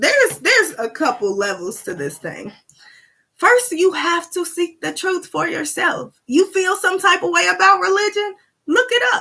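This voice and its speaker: An animated woman's voice, extremely high in pitch, bright and sharp, raised and projected, with very wide pitch swings at a fairly slow pace. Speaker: spiritual talk livestreamer. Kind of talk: livestream talk. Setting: live stream. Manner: loud.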